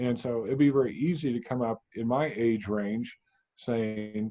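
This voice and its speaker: The man's pitch is medium, with ordinary variation. He speaks at a fairly slow pace. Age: 60s. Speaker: energy healer. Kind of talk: interview. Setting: studio. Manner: halting.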